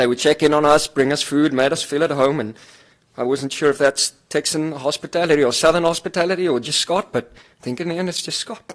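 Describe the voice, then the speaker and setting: A fairly quick-paced man with a South African accent and ordinary pitch variation. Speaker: finance executive. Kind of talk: eulogy. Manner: halting, many fillers.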